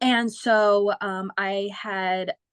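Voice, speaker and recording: In an unremarkable speaking voice, a woman at medium pitch talks with a General American accent and fairly even intonation, recorded with a dry, close sound with no echo. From Phoenix, Arizona, US. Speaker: singer. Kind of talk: casual chat.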